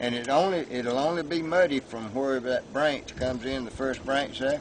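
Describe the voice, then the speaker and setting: Noticeable background noise sits behind a man with an American accent who speaks at a moderate pace and medium pitch with ordinary pitch variation. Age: 70s. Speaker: local resident. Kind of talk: interview. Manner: halting.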